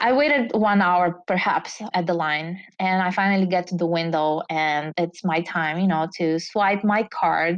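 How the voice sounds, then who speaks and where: With a Bulgarian accent, a woman speaks at a fairly slow pace in a fairly low pitch, with ordinary pitch variation and very even loudness. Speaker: entrepreneur. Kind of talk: interview storytelling.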